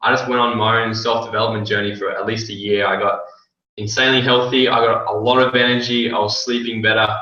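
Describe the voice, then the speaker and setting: Speaking at a fairly quick pace, a man uses an Australian accent. His pitch is medium, and audible room echo fills the recording. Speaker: network marketing distributor. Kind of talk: interview.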